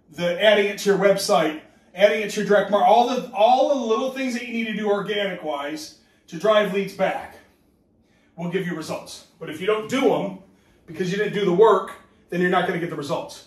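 With audible room echo, a man speaks at a fairly quick pace and high pitch with ordinary pitch variation. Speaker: business trainer. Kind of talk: training talk. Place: home room. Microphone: camera far.

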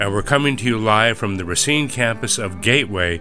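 Music plays in the background as a man speaks. His intonation is lively and his pace is moderate. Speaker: radio host / announcer. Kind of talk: radio promo announcement.

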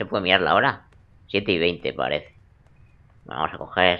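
Here the pace is fairly slow. The voice belongs to a man. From Spain. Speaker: gaming youtuber. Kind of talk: let's play commentary. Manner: animated. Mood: joking, playful. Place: home room. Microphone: headset.

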